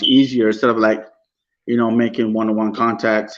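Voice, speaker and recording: A man against a quiet background. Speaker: rapper. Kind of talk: interview. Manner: halting, repeats words.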